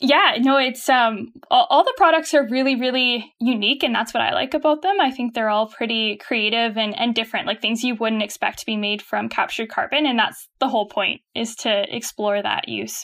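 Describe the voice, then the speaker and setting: With a Canadian accent and a normal speaking voice, a woman talks at a moderate pace and hardly any pauses, her fairly high pitch showing ordinary pitch variation. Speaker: startup chief of staff. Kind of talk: casual interview chat.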